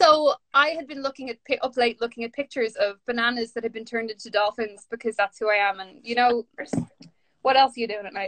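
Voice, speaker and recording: Against light background noise, a woman with a Dublin accent speaks at a high pitch with big swings in loudness. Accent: Dublin Irish. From Ireland, north Dublin. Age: 30s. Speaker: author and poet; poet. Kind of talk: casual chat. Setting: video call from home during lockdown. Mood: animated, reflective. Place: home room. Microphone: phone near.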